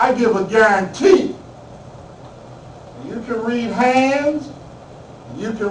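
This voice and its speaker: A man's extremely high-pitched voice with lively intonation, plus audible room echo and noticeable background noise. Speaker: spiritual minister and guest speaker. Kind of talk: talk to a class. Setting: classroom. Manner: loud.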